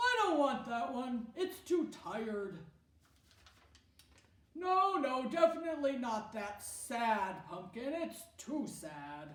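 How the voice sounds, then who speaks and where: A woman's put-on character voice, high-pitched, at a very slow pace, with very wide pitch swings and slight echo. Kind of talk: children's drama skit. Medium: solo performance.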